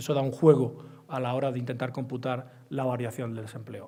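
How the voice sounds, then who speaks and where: Amid audible room echo, a man with an Andalusian accent talks very fast in a dark, mellow tone. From Andalusia, Spain. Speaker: economics professor. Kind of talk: lecture.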